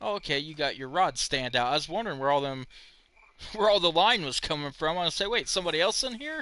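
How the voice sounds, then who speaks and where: A man with an American accent talks at a very fast pace with lively intonation. His voice is fairly high in pitch, with a bright, sharp tone. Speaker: game streamer. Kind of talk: live gameplay commentary. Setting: live stream. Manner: casual, chatty.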